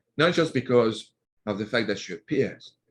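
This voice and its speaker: This man speaks with a French accent at medium pitch. His intonation is lively and his pace moderate. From France, Normandy. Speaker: author. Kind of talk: interview.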